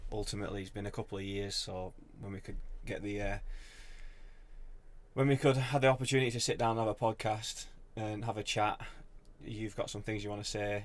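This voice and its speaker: A man with a northern English accent speaks at a fairly quick pace in a fairly low voice, his intonation fairly even and broken by long, frequent pauses. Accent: broad northern English. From northern England. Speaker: social media business owner. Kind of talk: casual podcast chat. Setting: in-person podcast with mics.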